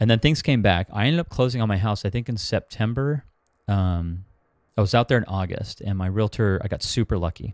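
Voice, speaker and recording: At a fairly quick pace with ordinary pitch variation, the voice comes through dry and close with no echo on a very clean recording with a silent background. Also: man, fairly low pitch for a man. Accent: Californian. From Southern California, Orange County. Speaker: short-term rental investor and property manager. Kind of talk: interview. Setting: call.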